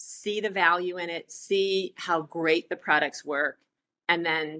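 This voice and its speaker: Recorded dry and close with no echo, a woman's fairly low voice has a bright, sharp tone and fairly even intonation. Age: 60s. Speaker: entrepreneur, refill store owner. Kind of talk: podcast interview.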